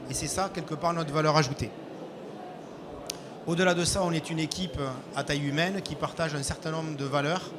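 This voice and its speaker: A man with a southwestern French accent at a fairly high pitch, with fairly even intonation, a fairly quick pace, long and frequent pauses, audible room echo and noticeable background noise. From southwest France. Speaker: IT integrator company representative. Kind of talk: business presentation.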